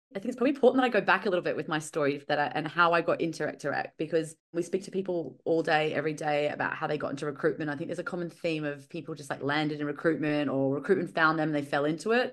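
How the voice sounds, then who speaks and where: Talking at a very fast pace with hardly any pauses, a woman uses a very deep, low voice and ordinary pitch variation. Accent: Australian. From Australia, Brisbane. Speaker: recruitment professional. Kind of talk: podcast interview.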